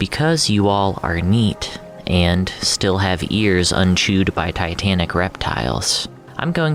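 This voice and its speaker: The voice has an upbeat, playful tone, with music playing in the background. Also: man. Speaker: audio fiction narrator and voice actor. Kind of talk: casual podcast host talk.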